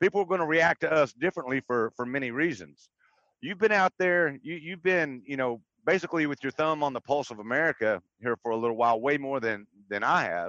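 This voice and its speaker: The speaker talks at a fairly quick pace with lively intonation in a Southern US accent. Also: man. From Texas. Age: 50s. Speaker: livestream panelist. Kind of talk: casual chat. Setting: in a car.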